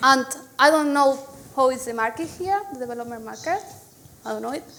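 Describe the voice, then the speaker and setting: The speaker talks with a Spanish accent and ordinary pitch variation. Room echo is audible. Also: woman. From Spain. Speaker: software engineer, conference speaker. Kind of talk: conference talk. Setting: stage with audience.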